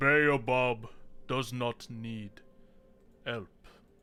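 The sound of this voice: A man's put-on character voice at medium pitch, with faint music in the background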